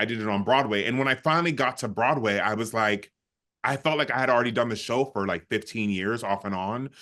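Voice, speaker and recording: Speaking at a very fast pace against a quiet background, a man has a bright, sharp, animated tone at a medium pitch with ordinary pitch variation. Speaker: Broadway musical theatre actor. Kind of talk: casual chat.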